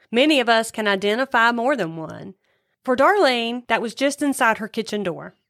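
A woman's fairly high-pitched voice at a moderate pace, an ordinary speaking voice with ordinary pitch variation, on a very clean recording with a silent background. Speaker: co-host listening and reacting. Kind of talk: casual chat. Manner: responsive, curious, chatty.

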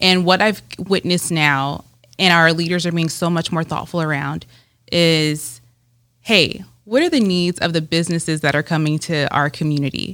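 A woman's fairly low-pitched voice with an American accent, fairly even intonation and a moderate pace, on a very clean recording with a silent background. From Southern California, Rancho Cucamonga. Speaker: economic development executive. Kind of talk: interview.

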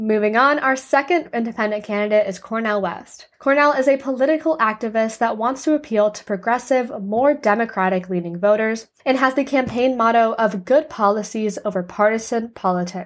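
A woman with an American accent talks in a plain, everyday voice at a fairly high pitch and a fairly quick pace, with hardly any pauses and ordinary pitch variation. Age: 20s. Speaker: podcast host. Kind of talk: scripted narration. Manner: formal.

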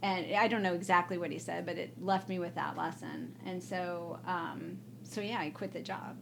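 A woman in an American accent at a moderate pace with hardly any pauses, amid audible room echo. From US Midwest, Evanston, Illinois (Chicago area). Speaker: political science professor. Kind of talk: casual interview chat. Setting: recorded at an academic conference.

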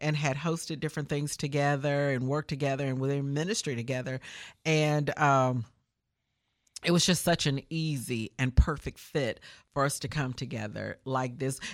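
A woman with a Memphis accent, her pitch very deep and low, her intonation fairly even, on a very clean recording with a silent background. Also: moderate pace. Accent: Southern US, Memphis. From Memphis, Tennessee, US South. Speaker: gospel radio host. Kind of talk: casual interview.

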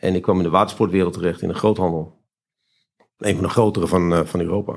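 His words move fairly quickly with fairly even intonation. The man's voice is very deep and low. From Friesland, Netherlands. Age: 50s. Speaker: entrepreneur. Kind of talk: interview. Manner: halting.

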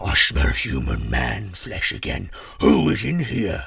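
A man's put-on character voice, low-pitched, husky and rough-edged yet fairly bright in tone, with vocal fry, very wide pitch swings and a slow pace.

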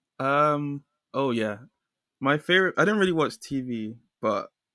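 A man with a London accent speaks at a moderate pace in a dry, close sound with no echo. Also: very clean recording, silent background. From London, England. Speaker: illustrator. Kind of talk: casual interview chat.

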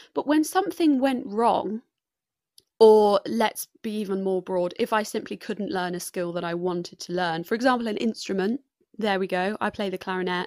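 Lively intonation at a moderate pace, in a very clean recording with a silent background and a dry, close sound with no echo. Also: woman, medium pitch for a woman. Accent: English. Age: 20s. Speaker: podcast host and student. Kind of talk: solo podcast monologue. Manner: chatty, with frequent laughter.

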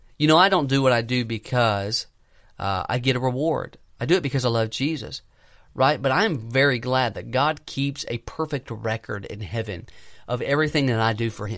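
A man talks at a moderate pace and a medium pitch in a normal speaking voice, with ordinary pitch variation, on a very clean recording with a silent background. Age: 20s. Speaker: young pastor / preacher. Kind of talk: sermon.

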